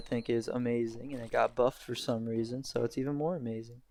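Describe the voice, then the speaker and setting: Intonation stays fairly even as a man talks at a medium pitch. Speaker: gaming youtuber. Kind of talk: gameplay commentary. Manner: fast; halting.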